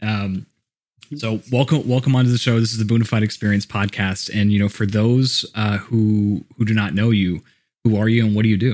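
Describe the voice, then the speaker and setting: An ordinary speaking voice, a man's, fairly low in pitch with fairly even intonation and an American accent. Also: fairly quick pace, very even loudness, very clean recording, silent background. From Texas (Houston). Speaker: podcast host. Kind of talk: interview.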